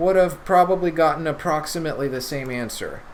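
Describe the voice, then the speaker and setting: The speaker's pitch varies in an ordinary way. Audible room echo and noticeable background noise are present. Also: man. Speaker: chemistry tutor. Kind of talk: lecture.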